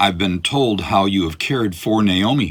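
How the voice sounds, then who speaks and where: A man's put-on character voice, growling, fairly low in pitch, at a moderate pace. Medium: read story. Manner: warm, gentle.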